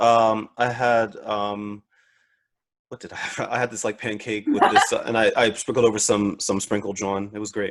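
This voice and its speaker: With a Philadelphia-New Jersey accent, a man talks at a medium pitch in a monotone, flat intonation, with big swings in loudness. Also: moderate pace. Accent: Philly-Jersey. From Philadelphia / South Jersey, US. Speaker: podcast host. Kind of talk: casual interview chat. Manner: repeats words, hesitant fillers.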